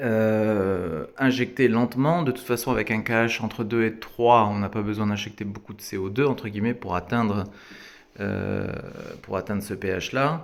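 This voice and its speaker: A man speaks at a moderate pace. His pitch is fairly low, with ordinary variation. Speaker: aquarium hobbyist. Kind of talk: tutorial. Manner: casual with frequent hesitations.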